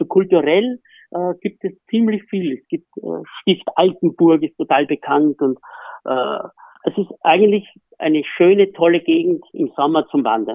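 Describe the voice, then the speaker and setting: Speaking at a fairly slow pace, a man with a high pitch uses lively intonation and big swings in loudness. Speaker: horse racing trainer. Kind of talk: casual interview.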